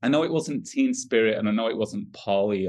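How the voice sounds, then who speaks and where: A man talks with a Yorkshire accent at a fairly quick pace. His pitch swings very widely. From northern England, Wakefield, West Yorkshire. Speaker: rock musician. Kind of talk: casual chat.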